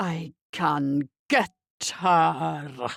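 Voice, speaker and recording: A woman in a put-on character voice, very deep and low in pitch, growling and hissing. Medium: read story.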